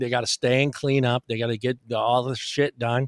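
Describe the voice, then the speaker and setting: In an American accent, the speaker goes at a moderate pace, recorded with a dry, close sound and no echo. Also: man. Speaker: podcast host. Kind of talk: casual chat. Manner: halting.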